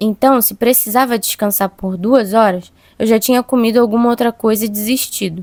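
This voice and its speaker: A woman speaks in a fairly high voice. Her intonation stays flat and monotone, and the sound is dry and close with no echo. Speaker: podcast host, cook. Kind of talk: personal reflection monologue. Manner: fast-talking.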